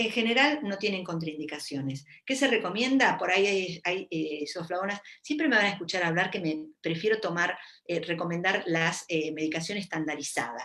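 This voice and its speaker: A woman with a Rioplatense accent speaks at a moderate pace in a fairly low pitch, her intonation lively. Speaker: gynecologist. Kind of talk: live Q&A talk. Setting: Facebook live stream. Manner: casual, with many fillers.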